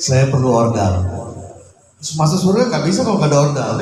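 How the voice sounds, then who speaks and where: A man is speaking with audible room echo. Noticeable background noise runs under his voice. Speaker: host of the gathering, Islamic cleric. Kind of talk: welcome speech. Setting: home gathering.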